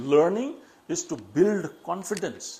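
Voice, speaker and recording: A man with a Nepali accent, very slow, high-pitched, with very wide pitch swings. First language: Newari. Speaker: public speaking trainer. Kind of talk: educational talk.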